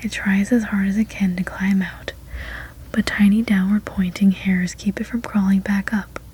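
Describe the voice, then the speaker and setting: Soft-spoken and relaxed in tone, the speaker moves at a fairly slow pace. Noticeable background noise sits underneath. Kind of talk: soft-spoken ASMR story read-aloud. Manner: soft-spoken, relaxed.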